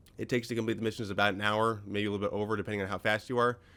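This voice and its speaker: This is a man speaking in a fairly low pitch. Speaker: gaming video creator. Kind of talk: let's play commentary. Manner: casual, rambling.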